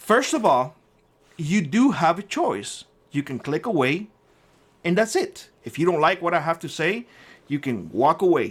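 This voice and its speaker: A man with a Cuban accent speaks at a fairly slow pace in a fairly high pitch, his voice swinging very widely in pitch and showing vocal fry. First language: Spanish. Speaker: prepping YouTuber. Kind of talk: angry rant to camera.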